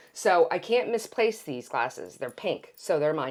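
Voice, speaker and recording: A woman with a fairly low voice speaks at a moderate pace, her tone animated and her intonation lively. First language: Greek. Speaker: podcast host. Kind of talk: casual chat with sponsor plug.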